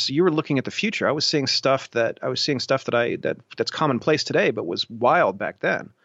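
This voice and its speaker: In an American accent, a man with an unremarkable speaking voice talks at a fairly quick pace in a fairly high pitch with ordinary pitch variation. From Ohio (Columbus). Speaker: tech journalist and entrepreneur. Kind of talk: interview.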